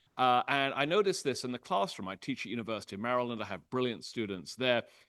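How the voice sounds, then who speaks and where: A man with a British accent speaks at a very fast pace in a medium pitch. His intonation is lively, and the background is quiet. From Britain. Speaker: history professor. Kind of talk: public lecture. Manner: frequent filler 'uh'.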